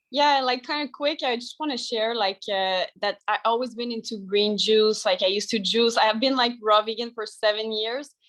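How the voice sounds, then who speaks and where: A fairly high-pitched woman with a French accent, fairly even intonation and hardly any pauses. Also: moderate pace. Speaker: raw vegan lifestyle sharer. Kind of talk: testimony.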